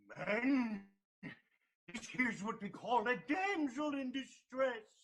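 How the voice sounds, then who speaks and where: Putting on a character voice, a man talks at a fairly slow pace in an extremely high pitch. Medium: stage play. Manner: stammering, word-mixing, fussy.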